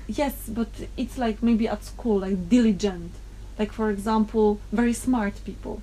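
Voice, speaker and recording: The speaker talks at a fairly slow pace with a Polish accent. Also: woman. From Poland. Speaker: interviewee. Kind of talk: casual chat.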